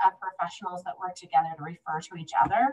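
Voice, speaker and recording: Somewhat breathy, a woman of medium pitch speaks very fast in a Midwestern US accent. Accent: US Midwest. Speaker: home visiting program manager. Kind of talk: presentation at online meeting.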